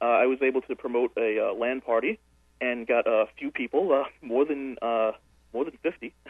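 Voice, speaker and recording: This man has a normal speaking voice, medium in pitch, delivered at a moderate pace with ordinary pitch variation. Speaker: caller. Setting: phone call.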